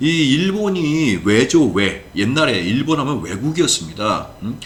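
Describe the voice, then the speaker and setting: Amid audible room echo and noticeable background noise, a man with a medium pitch makes very wide pitch swings. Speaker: professor. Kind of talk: lecture. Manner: fast.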